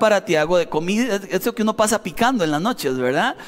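Noticeable background noise surrounds a man speaking in a high voice with a Costa Rican accent. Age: 40s. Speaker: pastor. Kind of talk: sermon.

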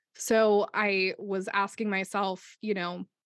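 A woman with a Midwestern US accent speaks at a medium pitch. The sound is dry and close with no echo, over a quiet background. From Ohio, US. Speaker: podcast co-host and artist. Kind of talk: casual chat.

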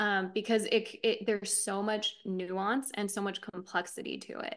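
The woman's voice rests at a medium pitch. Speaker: spiritual teacher. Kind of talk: casual interview. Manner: calm delivery.

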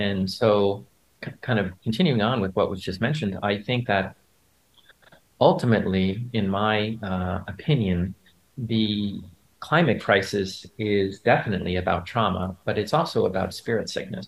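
This man has a plain, everyday voice. His pitch is fairly low, with ordinary pitch variation. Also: moderate pace. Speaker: acupuncturist. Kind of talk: panel discussion. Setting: video call.

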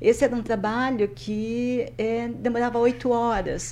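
A woman at a fairly slow pace, in a monotone, flat intonation. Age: 60s. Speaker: retired banker and skydiver. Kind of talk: interview.

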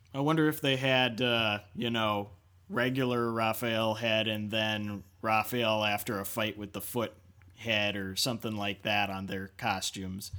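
Speaking slowly-ish with fairly even intonation, a man with an unremarkable speaking voice keeps to a fairly low pitch. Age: 30s. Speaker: podcast co-host. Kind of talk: casual chat about movies.

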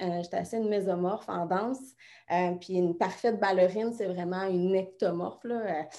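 In a Quebec accent, a woman speaks at medium pitch with a dark, mellow tone against a quiet background. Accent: Québécois French. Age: 30s. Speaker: fitness coach. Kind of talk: interview.

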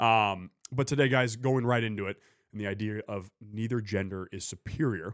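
A man with an ordinary speaking voice talks at a moderate pace in a fairly low pitch with fairly even intonation, in a dry, close, echo-free, very clean recording with a silent background. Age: 20s. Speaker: podcast host. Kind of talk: casual podcast chat.

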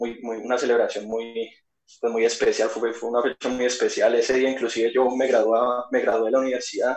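A man at medium pitch. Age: 20s. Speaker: football fan. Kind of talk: casual chat.

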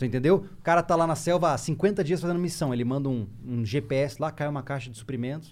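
A man with a normal speaking voice, a fairly high pitch and ordinary pitch variation, at a fairly quick pace with hardly any pauses. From Mato Grosso do Sul, Brazil (Campo Grande). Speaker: survival instructor, YouTuber. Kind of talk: casual chat.

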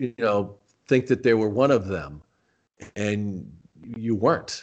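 Against a quiet background, a man with a plain, everyday voice and an American accent speaks at a fairly low pitch and a fairly slow pace, with ordinary pitch variation. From Arizona, Tucson. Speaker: former wrestling announcer. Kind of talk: interview.

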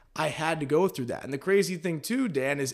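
This man speaks with a fairly high pitch and ordinary pitch variation. The recording is very clean, with a silent background. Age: 20s. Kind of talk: casual chat. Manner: animated; high energy.

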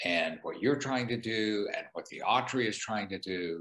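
The background is silent. A man talks at a moderate speed. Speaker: museum director. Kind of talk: interview conversation.

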